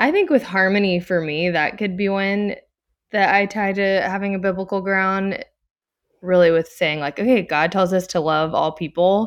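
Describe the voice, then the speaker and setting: Speaking in an American accent, a woman keeps a medium pitch, fairly even intonation and a moderate pace. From Louisiana, Baton Rouge. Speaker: stay-at-home mom. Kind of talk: casual interview.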